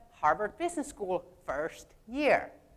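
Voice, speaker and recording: Speaking with a non-native accent, a woman talks at a fairly slow pace while her pitch swings very widely. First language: not English. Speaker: speaker, parent and engineer. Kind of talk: prepared talk.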